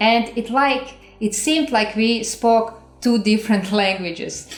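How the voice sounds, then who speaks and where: A woman with a Croatian accent speaks at a fairly slow pace, her pitch fairly high and her intonation fairly even. Her loudness stays very even while music plays in the background. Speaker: relationship coach. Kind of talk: casual two-person video talk.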